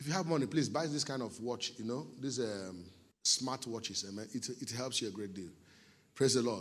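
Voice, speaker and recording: This man speaks with a Nigerian accent. His tone is animated, with ordinary pitch variation. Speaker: pastor. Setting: church.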